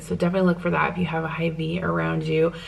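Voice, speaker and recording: A soft-spoken woman talks at a fairly quick pace with an American accent. The room echo is audible, and background noise is noticeable. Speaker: lifestyle vlogger. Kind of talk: casual vlog talk to camera. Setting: at home.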